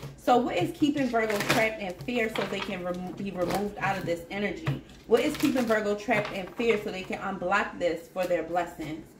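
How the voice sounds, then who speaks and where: A woman speaks at a fairly quick pace with lively intonation and hardly any pauses. Noticeable background noise runs underneath. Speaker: tarot reader. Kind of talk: tarot reading to viewers. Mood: warm, encouraging. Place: home room.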